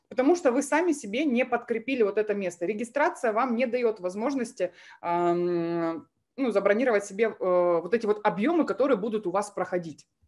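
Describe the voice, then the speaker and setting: A woman speaks in an ordinary speaking voice, fairly high in pitch, at a moderate pace. Her intonation is lively, and the background is quiet. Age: 20s. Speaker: MLM coach; webinar presenter. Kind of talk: webinar presentation. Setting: live stream with chat. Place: home room. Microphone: webcam.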